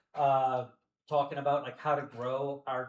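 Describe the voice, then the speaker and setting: Monotone, flat speech from a man with an American accent at medium pitch, music in the background. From US South. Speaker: company representative, event sponsor. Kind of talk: introductory remarks to audience. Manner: loud; fast.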